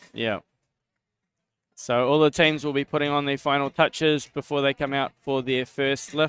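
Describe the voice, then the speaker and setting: Music plays behind a man with a fairly high voice, and the sound is dry and close with no echo. His intonation is monotone and flat, with long, frequent pauses. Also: moderate pace. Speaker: sports commentator. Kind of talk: live commentary.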